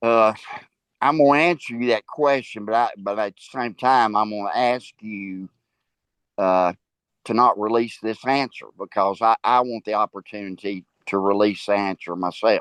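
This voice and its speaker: A man with a Tennessee accent talks at a moderate pace with ordinary pitch variation and a fairly low pitch. The sound is dry and close with no echo, against a quiet background. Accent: Southern US (Tennessee). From US South. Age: 70s. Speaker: school board member and minister. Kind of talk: interview. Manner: halting, many repetitions and fillers.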